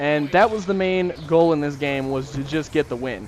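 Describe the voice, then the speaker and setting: A man talks at a fairly quick pace with ordinary pitch variation. Music plays in the background. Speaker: gaming YouTuber. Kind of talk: gameplay commentary. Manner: fast.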